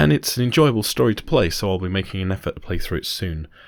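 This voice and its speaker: A breathy, soft-spoken man with a very deep, low pitch. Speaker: gaming channel host. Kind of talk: game review narration. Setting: home recording, popping plosives. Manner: soft, breathy.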